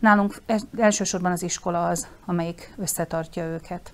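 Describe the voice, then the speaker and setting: On a very clean recording with a silent background, a woman speaks at a moderate pace in an ordinary speaking voice, medium-pitched with fairly even intonation. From southern Slovakia, Hungarian minority. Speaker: school principal. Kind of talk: studio interview. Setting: studio.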